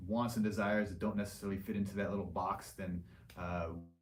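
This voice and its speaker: The speech moves at a very fast pace with fairly even intonation. Audible room echo can be heard. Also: man. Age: 40s. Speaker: liposuction surgeon hosting live Q&A. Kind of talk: livestream Q&A. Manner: casual, filler-heavy.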